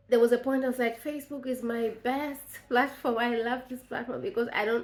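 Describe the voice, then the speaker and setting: A woman speaks with a Tanzanian accent. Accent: East African (Tanzanian) English. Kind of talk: devotional talk to camera. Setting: on video to camera.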